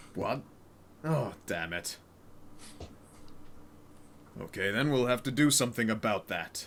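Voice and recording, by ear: Over clear background noise, a man does a booming put-on character voice at medium pitch, moving at a moderate pace with lively intonation and long, frequent pauses.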